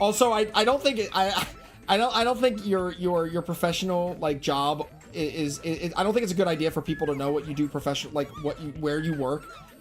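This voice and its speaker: A fairly quick pace with an American accent over music in the background. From New Jersey. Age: 20s. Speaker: gaming streamer. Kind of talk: casual live-stream chat. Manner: clearly articulated.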